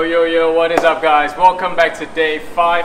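There is noticeable background noise as a man with a high pitch speaks at a fairly quick pace. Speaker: fitness instructor. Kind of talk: workout tutorial. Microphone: camera far.

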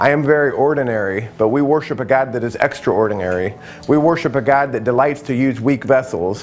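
A man talks fairly quickly with ordinary pitch variation while faint music plays in the background. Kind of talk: testimony to camera. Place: home room. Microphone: lapel.

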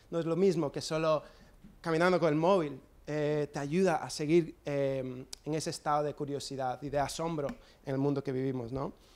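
A man speaks with an English accent at a moderate pace. His pitch is fairly high and his intonation fairly even. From US, New Jersey. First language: English (speaking Spanish). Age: 30s. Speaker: skater and photographer; guest. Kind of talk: talk with slides; talk presentation. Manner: hesitant with fillers. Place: hall. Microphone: handheld.

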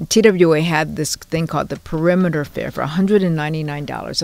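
The sound is dry with no echo as a woman talks at a very deep, low pitch with fairly even intonation. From Hawaii, Honolulu. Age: 70s. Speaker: journalist and educator. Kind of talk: interview storytelling. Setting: studio. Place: studio.

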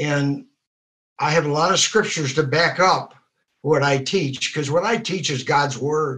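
Fairly high-pitched male voice with a bright, sharp tone, ordinary pitch variation and a moderate pace, against a quiet background. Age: 70s. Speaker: positive mental attitude teacher. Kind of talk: testimony. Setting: video call. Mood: earnest, faith-focused. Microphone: video call.

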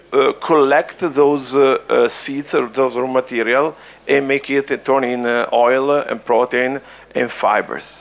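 A man with an Italian accent speaks at a very slow pace. His pitch sits fairly high. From Italy. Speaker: food ingredient company founder; panelist. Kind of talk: panel discussion. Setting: stage with audience. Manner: halting, repeats words. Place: hall. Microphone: handheld.

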